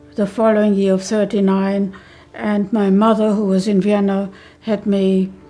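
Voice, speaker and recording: With music playing in the background, a woman speaks fairly slowly at a medium pitch in a monotone, flat delivery. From Vienna, Austria. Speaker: Holocaust survivor, retired school social worker. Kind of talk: interview answer.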